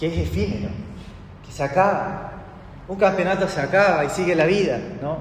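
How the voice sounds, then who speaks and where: A man talks at a fairly slow pace with ordinary pitch variation, noticeable background noise and audible room echo. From Chile. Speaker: pastor. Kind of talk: sermon.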